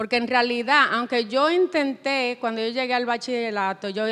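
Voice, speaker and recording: A woman speaks in a high pitch. The recording is very clean, with a silent background. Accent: Spanish. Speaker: writer. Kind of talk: panel discussion. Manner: halting.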